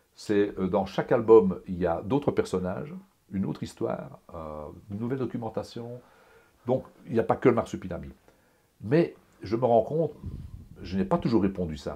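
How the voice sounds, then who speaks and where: A man with a dark, mellow tone and vocal fry swings his pitch very widely. He leaves long, frequent pauses. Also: medium pitch for a man, moderate pace. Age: 60s. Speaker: comic book artist. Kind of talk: interview. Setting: home studio. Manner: animated; halting.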